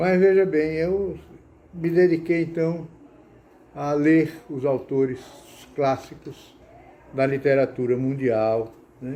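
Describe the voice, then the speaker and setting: A man with a fairly high pitch and a dark, mellow tone speaks very slowly, leaving long, frequent pauses, with ordinary pitch variation. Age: 80s+. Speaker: writer, academy member. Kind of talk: personal talk about reading. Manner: halting, with repetitions.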